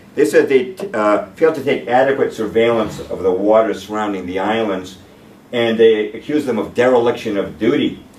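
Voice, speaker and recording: The man's fairly quick talking is ringed by audible room echo. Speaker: presenter. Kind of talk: lecture. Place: meeting room. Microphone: camera far.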